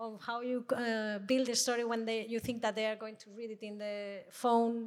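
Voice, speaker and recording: A woman with a Spanish accent speaks at a fairly high pitch in a monotone, flat intonation. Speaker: audio editor-in-chief, producer. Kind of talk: panel discussion. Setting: stage with live audience.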